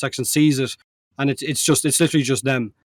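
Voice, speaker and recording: A man with an Irish accent talks at a very fast pace. His intonation is fairly even. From Ireland. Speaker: co-host, gaming content creator. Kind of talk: casual chat.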